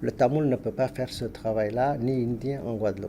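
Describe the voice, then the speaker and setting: Speaking in a Tamil accent, a man with a dark, mellow tone keeps a moderate pace and ordinary pitch variation. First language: Tamil (speaking French). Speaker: linguist, Tamil professor. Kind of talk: TV interview. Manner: halting, many hesitations.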